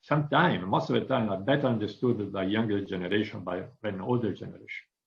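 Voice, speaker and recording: The speech rushes by at a very fast pace with lively intonation. It carries an Italian accent. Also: man, fairly low pitch for a man. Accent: Italian accent, non-native English. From northern Italy. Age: 50s. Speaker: business executive. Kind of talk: interview. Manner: frequent hesitations (uh).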